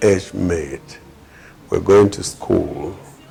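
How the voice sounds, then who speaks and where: Noticeable noise sits in the background. Over it, a man talks very slowly. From Cameroon, North West region. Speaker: politician and community developer. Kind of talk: interview testimony. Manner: hesitant with many fillers.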